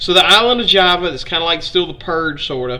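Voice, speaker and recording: A man's high-pitched voice in a strong Southern Alabama accent, with audible room echo. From US South, Alabama. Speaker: history streamer. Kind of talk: live-stream history lecture. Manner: casual, conversational.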